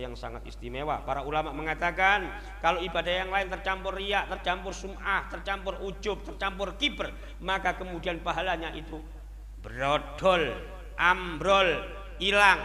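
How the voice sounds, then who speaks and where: Amid noticeable background noise and audible room echo, a man speaks at a moderate pace in an animated tone. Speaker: Islamic preacher. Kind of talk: sermon.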